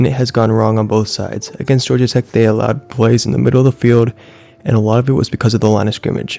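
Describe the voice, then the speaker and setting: Very fast male speech at a medium pitch, fairly even in intonation, with noticeable background noise. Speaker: sports commentator. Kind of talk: monologue recap. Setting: at home, late at night.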